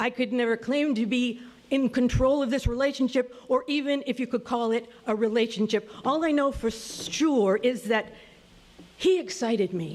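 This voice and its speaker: Speaking at a fairly slow pace, a woman with a fairly high pitch has an ordinary speaking voice. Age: 60s. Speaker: storyteller. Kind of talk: storytelling.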